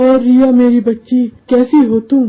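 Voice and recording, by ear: A woman does a cartoonish character voice, pitched high. Her intonation stays monotone and flat.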